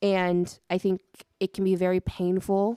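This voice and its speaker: A woman's fairly low, dark, mellow voice in a flat monotone, dry and close with no echo, on a very clean recording with a silent background. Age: 20s. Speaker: folk pop-punk musician. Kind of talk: casual interview.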